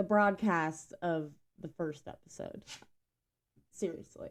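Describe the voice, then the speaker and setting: A woman talks at a fairly slow pace. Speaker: podcast host. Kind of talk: casual chat. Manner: hesitant, many fillers.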